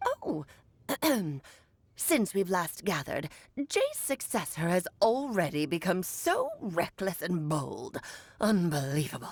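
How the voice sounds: Delivered in a put-on character voice, the speech moves at a fairly slow pace with long, frequent pauses. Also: woman, medium pitch for a woman.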